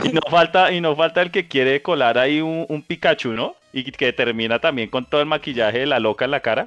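Noticeable background noise sits behind this clip. A man with a fairly high pitch talks very fast with hardly any pauses. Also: ordinary pitch variation. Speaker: podcast co-host. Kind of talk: casual chat.

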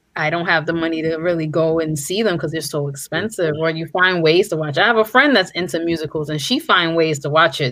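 A woman with a New York accent speaks at a fairly quick pace in a fairly low voice. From New York City. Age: 30s. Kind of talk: casual chat.

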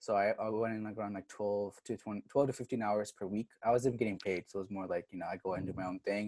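A man in a dark, mellow tone with fairly low pitch and fairly even intonation, at a very fast pace with hardly any pauses, in a dry, close sound with no echo. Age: 20s. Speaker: recent college graduate, aspiring doctor. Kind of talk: casual interview.

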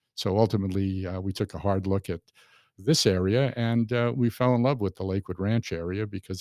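With an American accent, a man speaks at a fairly quick pace in a very deep, low pitch and a dark, mellow tone. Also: dry, close sound with no echo. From New York City, Brooklyn. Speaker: magazine publisher. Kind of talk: casual interview. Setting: studio.

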